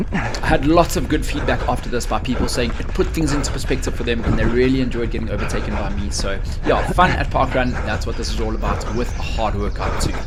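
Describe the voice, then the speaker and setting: Talking at a very fast pace with hardly any pauses, a man is heard through audible room echo and noticeable background noise. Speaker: running vlogger and coach. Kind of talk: voiceover narration of race footage. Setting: outdoors. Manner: energetic.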